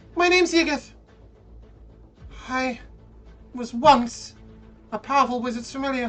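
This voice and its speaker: A woman's put-on character voice, high in pitch, at a moderate pace with long, frequent pauses, over faint music in the background. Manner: eerie, inner-head voice.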